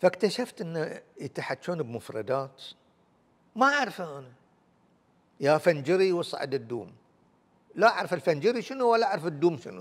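A man with a high voice speaks at a moderate pace, his pitch swinging very widely and loudness changing sharply, with long, frequent pauses. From Bahrain, Manama. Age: 70s. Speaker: musician and dialect researcher. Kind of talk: interview, life story. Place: studio. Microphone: lapel.

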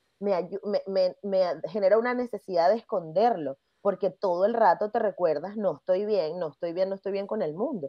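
In a Venezuelan accent, the speaker goes at a moderate pace with ordinary pitch variation, recorded with a dry sound, no echo and a quiet background. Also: woman. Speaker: podcast host; podcast guest. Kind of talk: interview. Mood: engaged, reflective. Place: home room.

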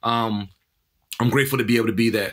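In an American accent, a man with a medium pitch and a bright, sharp tone speaks at a fairly quick pace on a very clean recording with a silent background. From Washington D.C. area. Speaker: tech startup founder, formerly incarcerated. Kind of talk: interview.

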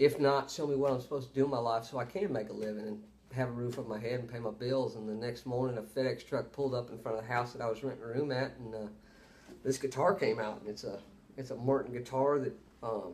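The speaker talks at a very fast pace in a Texan accent, with ordinary pitch variation. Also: man. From Texas (Beaumont); Texas. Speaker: country singer, former Marine; interview guest. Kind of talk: casual interview. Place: home room. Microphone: webcam.

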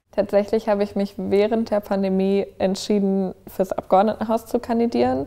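A woman speaks with a dark, mellow tone and ordinary pitch variation. She hardly pauses, and the background is quiet. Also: moderate pace. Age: 20s. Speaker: politician. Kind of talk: interview. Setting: office. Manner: casual, with filler words. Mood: friendly, smiling, engaged. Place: home room. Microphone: lapel.

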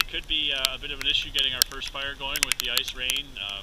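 A man talking at a very fast pace, dry with no echo, over loud background noise. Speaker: outdoor show host. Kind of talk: casual vlog chat. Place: forest. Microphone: phone near.

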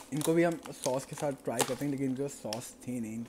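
Male voice at a fairly slow pace, fairly even intonation, with noticeable background noise. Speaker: food reviewer. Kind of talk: casual unboxing and tasting vlog chat. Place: home room. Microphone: earbuds.

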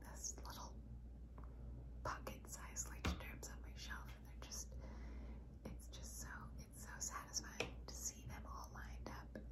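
A woman speaks over loud background noise. Her speech has long, frequent pauses. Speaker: journaling hobbyist. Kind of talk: casual vlog talk to camera. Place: home room. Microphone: phone near.

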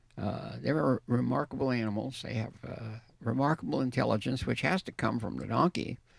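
Vocal fry comes through at a moderate pace, with a dry sound with no echo and a quiet background. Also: man. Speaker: guest. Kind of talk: interview answer. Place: hall. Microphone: handheld.

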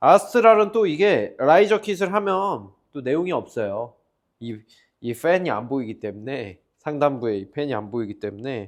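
A loud male voice with very wide pitch swings against a quiet background. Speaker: PC builder and shop owner. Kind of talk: tutorial.

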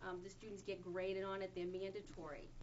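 There is vocal fry in this woman's voice. She talks at a fairly quick pace over light background noise. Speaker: parent giving public comment. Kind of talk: public comment speech. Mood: concerned, firm. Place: meeting room. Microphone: camera far.

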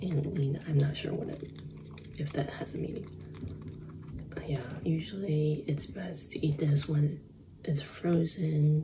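Over noticeable background noise, a soft-spoken woman with a very deep, low pitch talks at a fairly slow pace with fairly even intonation and long, frequent pauses. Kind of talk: casual vlog chat. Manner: soft-spoken, hushed ASMR voice. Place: home room. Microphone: phone near.

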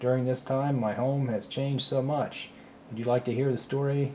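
The clip carries an unforced reading voice.

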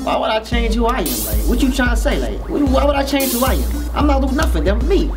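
A man speaks at a fairly quick pace while clear music plays behind him. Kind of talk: scripted comedic interview answer. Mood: defensive, irritated, joking. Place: studio.

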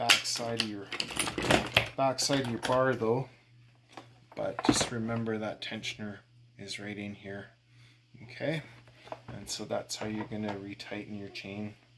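The speaker talks at a fairly slow pace over loud background noise. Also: man. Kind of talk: tutorial. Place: garage. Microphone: phone near.

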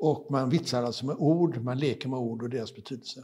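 Somewhat breathy, a man's voice comes through over a quiet background. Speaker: satirical cartoonist; journalist. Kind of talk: talk with jokes. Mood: dry humorous anecdotes. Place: hall. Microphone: lapel.

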